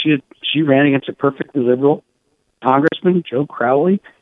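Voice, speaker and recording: A man talks at a fairly quick pace in an ordinary speaking voice. His pitch is fairly high, with ordinary pitch variation. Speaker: political journalist. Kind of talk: phone interview, political commentary. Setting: phone interview.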